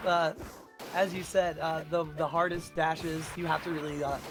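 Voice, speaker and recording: Music plays in the background while a man talks in a high pitch. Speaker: esports match commentator. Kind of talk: live tournament commentary.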